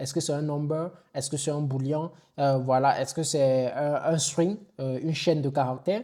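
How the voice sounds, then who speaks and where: On a very clean recording with a silent background, a man speaks at a fairly slow pace in a dark, mellow tone, fairly high in pitch, with fairly even intonation. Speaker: online IT instructor. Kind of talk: tutorial. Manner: casual with hesitations.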